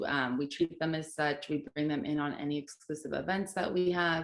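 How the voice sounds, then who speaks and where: Her pitch sits very deep and low. This woman talks at a moderate pace. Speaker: social media manager. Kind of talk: panel discussion.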